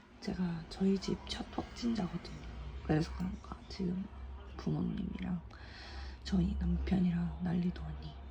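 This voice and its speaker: Amid noticeable background noise, a woman speaks at a moderate pace with long, frequent pauses. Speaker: vlogger. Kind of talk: casual vlog talk. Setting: at home in quarantine.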